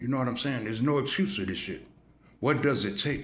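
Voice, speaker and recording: A man with vocal fry talks at a fairly quick pace, with audible room echo. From US Midwest, Chicago. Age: 60s. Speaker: YouTube commentator. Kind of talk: casual monologue. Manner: animated.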